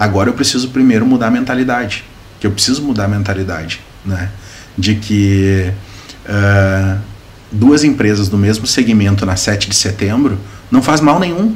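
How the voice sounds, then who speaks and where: With noticeable background noise and audible room echo, a man with a fairly low pitch talks at a moderate pace, using ordinary pitch variation and long, frequent pauses. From Sapiranga, Rio Grande do Sul, southern Brazil. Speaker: municipal government adviser. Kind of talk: interview.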